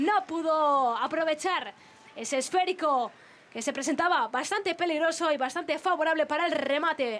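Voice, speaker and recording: Her voice is high in pitch, and this woman uses ordinary pitch variation. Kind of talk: football commentary. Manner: fast, excitable play-by-play, stretching out goal calls; rapid-fire, breathless delivery naming players and passes.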